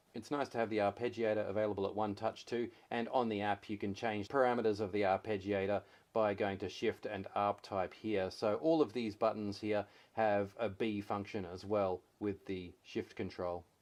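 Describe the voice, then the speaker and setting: A man talks at a moderate pace with a fairly low pitch. His intonation stays fairly even over a quiet background. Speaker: gear reviewer. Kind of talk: product review. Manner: monotone.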